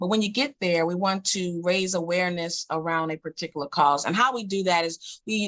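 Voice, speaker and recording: A woman with an American accent speaks at a moderate pace in an ordinary speaking voice, her medium pitch showing ordinary variation, and the sound is dry and close with no echo. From Queens, New York. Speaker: poet and social worker. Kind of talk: interview. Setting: radio show.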